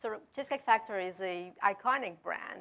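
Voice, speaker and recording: Speaking in a European accent, a woman has a bright, sharp tone at medium pitch. Her pace is moderate, with ordinary pitch variation. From Denmark. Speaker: technology executive. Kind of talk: panel discussion.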